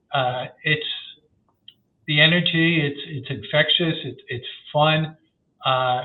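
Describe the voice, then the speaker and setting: Ordinary pitch variation marks a man speaking with a New York accent. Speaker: sports marketing research executive. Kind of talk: podcast interview.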